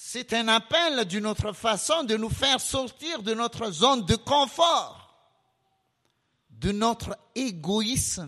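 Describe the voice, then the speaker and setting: In a raised, projected voice, a man with an extremely high pitch speaks very slowly, his bright, sharp tone carried by lively intonation. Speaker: preacher. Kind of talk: sermon. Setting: church.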